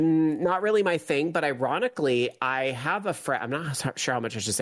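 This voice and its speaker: A man talks in a normal speaking voice at a fairly quick pace with ordinary pitch variation. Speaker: guest, arcade cabinet owner. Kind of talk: casual chat.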